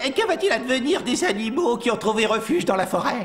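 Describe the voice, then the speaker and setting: A cartoonish character voice speaks at a fairly high pitch and a fairly quick pace. Clear background noise runs underneath. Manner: friendly, gentle.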